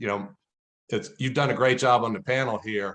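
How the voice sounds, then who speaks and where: Against a quiet background, a man talks in a plain, everyday voice at a moderate pace, medium in pitch with ordinary variation. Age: 60s. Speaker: football analytics advisor. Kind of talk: panel discussion.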